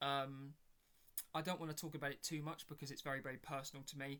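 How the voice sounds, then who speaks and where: Speaking in a British accent, a man has a fairly high pitch and a bright, sharp tone. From Britain. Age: 20s. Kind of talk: casual chat. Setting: home bedroom. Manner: halting with many fillers.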